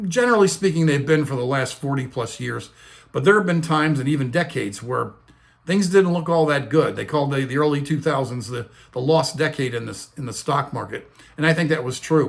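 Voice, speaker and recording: Fairly high in pitch, this man talks at a fairly quick pace with an American accent. His voice is somewhat breathy, with ordinary pitch variation. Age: 60s. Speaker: retirement finance video host. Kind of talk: casual talking-head explainer.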